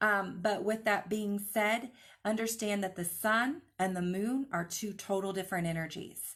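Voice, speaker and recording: This woman has an unremarkable speaking voice at a medium pitch. She keeps a moderate pace with ordinary pitch variation. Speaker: crystal healing teacher. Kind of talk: live online class. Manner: casual, filler-heavy.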